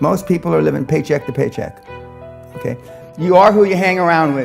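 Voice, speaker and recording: With music in the background, a man talks at a fairly quick pace in a high pitch. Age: 70s. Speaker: business coach and motivational speaker. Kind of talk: motivational speech, blunt and profane. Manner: forceful, aggressive, blunt.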